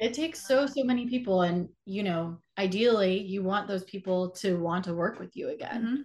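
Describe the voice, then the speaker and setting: Using an ordinary speaking voice, a woman with an American accent talks at a fairly quick pace with hardly any pauses, at a medium pitch with ordinary pitch variation. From Atlanta, Georgia, US South. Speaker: filmmaker and actor. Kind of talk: interview.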